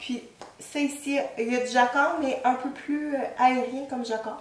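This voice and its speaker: Audible room echo surrounds a woman's high-pitched voice. She speaks at a fairly slow pace. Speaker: knitting podcaster. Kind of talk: casual show-and-tell talk. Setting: at home. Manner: hesitant, many fillers.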